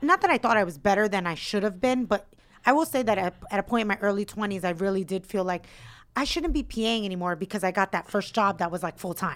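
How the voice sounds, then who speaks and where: An unremarkable speaking voice at a fairly quick pace with ordinary pitch variation, in a very clean recording with a silent background. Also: woman. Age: 30s. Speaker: co-host and comedian. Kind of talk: casual chat.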